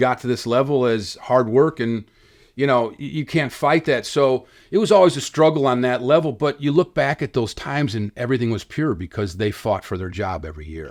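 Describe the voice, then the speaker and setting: In a very clean recording with a silent background, a man with a normal speaking voice and an American accent talks at medium pitch and a fairly quick pace, his intonation lively. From Chicago area. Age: 60s. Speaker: filmmaker and podcaster, son of a baseball player. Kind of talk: interview storytelling.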